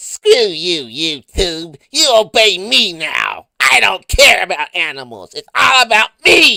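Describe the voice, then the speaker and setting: A put-on character voice at a middle pitch moves at a fairly slow pace with hardly any pauses. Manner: bratty, defiant.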